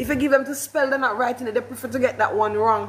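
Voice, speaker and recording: A woman with a high voice speaks amid noticeable background noise and audible room echo. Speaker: teacher trainer. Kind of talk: workshop lecture. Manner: fast.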